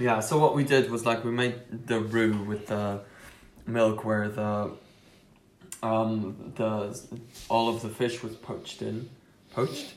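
Long, frequent pauses mark the very slow pace, with audible room echo. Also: man, medium pitch for a man. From Belgium. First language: Dutch. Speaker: podcast co-host. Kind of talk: casual chat. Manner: animated.

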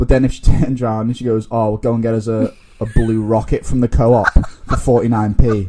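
Speaking at a fairly quick pace with a Liverpool accent, a man keeps a dark, mellow tone and a monotone, flat intonation. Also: medium pitch for a man. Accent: Scouse (Liverpool). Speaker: guest. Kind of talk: casual chat.

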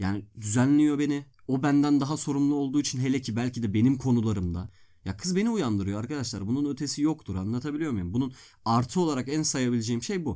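Speech races along at a very fast pace with lively intonation. The tone is dark and mellow, on a very clean recording with a silent background. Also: man, medium pitch for a man. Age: 20s. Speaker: law student. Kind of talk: casual chat.

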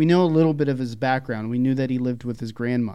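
An ordinary speaking voice from a man with an American accent, medium in pitch, at a fairly quick pace with ordinary pitch variation. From Philadelphia, US. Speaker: podcast co-host, IT worker. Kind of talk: casual chat.

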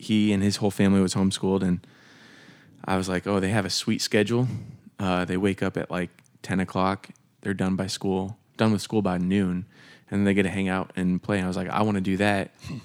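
With an American accent, a man with a very deep, low voice speaks in a flat monotone, leaving long, frequent pauses, on a very clean recording with a silent background. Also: fairly quick pace. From Pennsylvania, Harrisburg area. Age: 30s. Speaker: church worship director. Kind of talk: casual chat. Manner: halting.

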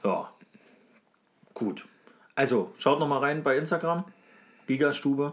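With vocal fry and a fairly high pitch, a man speaks at a fairly slow pace, pausing long and often, with ordinary pitch variation. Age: 30s. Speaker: podcast co-host. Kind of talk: casual chat.

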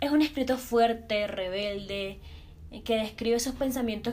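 A woman with a fairly high voice speaks at a moderate pace. Room echo is audible and background noise is noticeable. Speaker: podcast host. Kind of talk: casual chat.

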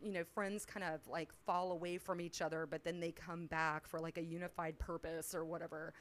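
A woman with a plain, everyday voice speaks at a moderate pace and a fairly low pitch. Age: 40s. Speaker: podcast co-host, guest. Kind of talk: casual chat.

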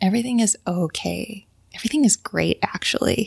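This woman's voice is somewhat breathy. She keeps to a fairly slow pace. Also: dry, close sound with no echo. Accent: American. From Idaho (Sun Valley). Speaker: figure skater and artist. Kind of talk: casual interview chat.

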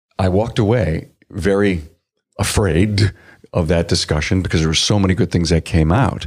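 This man has a very deep, low pitch with ordinary pitch variation. He keeps a moderate pace and very even loudness. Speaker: podcast host. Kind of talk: interview intro and conversation. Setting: conference, recorded live at a trade event.

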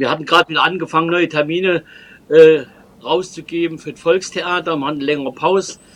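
A man speaks at a very fast pace and fairly high pitch, with fairly even intonation. His loudness swings widely over noticeable background noise. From Trier, Germany. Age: old. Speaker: folk musician and tour guide. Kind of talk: interview. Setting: video call.

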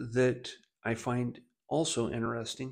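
A man with an American accent at a very slow pace. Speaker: pastor. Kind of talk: devotional. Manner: informal, hesitant with fillers.

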